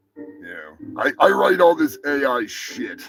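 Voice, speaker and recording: A man speaks with music in the background. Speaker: live news show host. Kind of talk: casual live stream chat. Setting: live stream.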